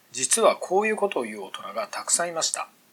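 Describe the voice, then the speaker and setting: Noticeable background noise fills the recording. A man speaks over it at a fairly quick pace. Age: 40s. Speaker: entrepreneur podcaster. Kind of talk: solo monologue podcast.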